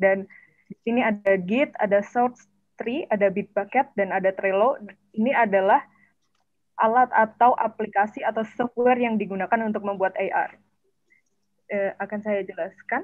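Against a quiet background, a woman with an Indonesian accent and a fairly high pitch speaks at a moderate pace with ordinary pitch variation and long, frequent pauses. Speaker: webinar moderator and interpreter; moderator. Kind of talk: event moderation. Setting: video call. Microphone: video call.

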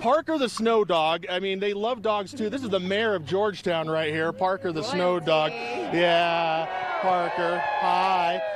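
Noticeable background noise sits under a dry sound with no echo. A man speaks at a fairly slow pace. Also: lively intonation. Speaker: TV news reporter. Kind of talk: live news report. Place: street. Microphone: handheld.

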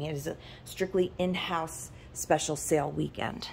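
A woman with a fairly low pitch and a dark, mellow tone speaks with ordinary pitch variation over light background noise. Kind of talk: casual vlog chat. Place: shop. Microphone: phone near.

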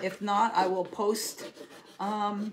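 A woman speaks at a fairly high pitch in a monotone, flat way. Noticeable background noise runs underneath. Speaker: DIY crafts livestream host. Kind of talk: live craft tutorial. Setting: home livestream. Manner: chatty, warm.

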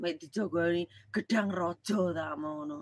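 A woman speaks at a very slow pace with ordinary pitch variation. The sound is dry, with no echo. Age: middle-aged. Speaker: live streamer. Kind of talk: casual live stream chat. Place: home room. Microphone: phone near.

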